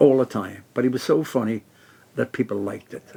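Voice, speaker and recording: A man speaks at a fairly quick pace and medium pitch, with ordinary pitch variation. His tone is dark and mellow. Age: 80s+. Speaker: comedian. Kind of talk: radio interview, telling jokes and anecdotes.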